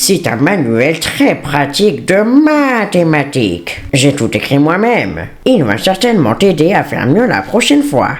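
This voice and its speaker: A man's put-on character voice at a fairly high pitch, with very wide pitch swings at a moderate pace, over clear music in the background. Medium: fan dub. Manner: falsely friendly, controlling.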